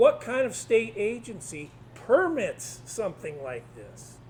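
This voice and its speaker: This man speaks with a Midwestern US accent. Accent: US Midwest. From Iowa. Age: 60s. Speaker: retired engineering professor and advocacy group president. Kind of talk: public talk. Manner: animated.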